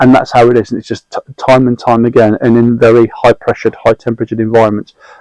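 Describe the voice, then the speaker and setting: A man's medium-pitched voice with a British accent, dry and close with no echo. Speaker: mentor and guest sharing anxiety experience. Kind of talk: casual interview conversation. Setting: in-person recording, notebooks on the table. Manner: fast.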